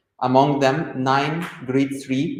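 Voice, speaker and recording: Audible room echo surrounds a man's voice. He speaks at a medium pitch with fairly even intonation. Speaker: medical epidemiologist, conference speaker. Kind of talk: conference presentation. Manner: loud.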